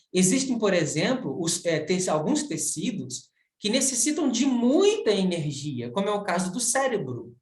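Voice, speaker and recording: A fairly slow pace with very wide pitch swings. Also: man, high pitch for a man. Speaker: university professor. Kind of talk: recorded video lecture. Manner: halting, many fillers.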